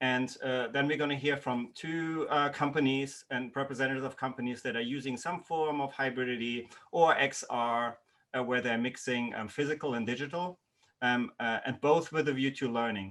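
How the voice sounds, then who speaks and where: A man with a non-native accent, medium pitch and fairly even intonation. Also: moderate pace. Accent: non-native accent, noticeable. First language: not English. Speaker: university lecturer, workshop host. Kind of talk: online workshop presentation. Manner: hesitant, many fillers.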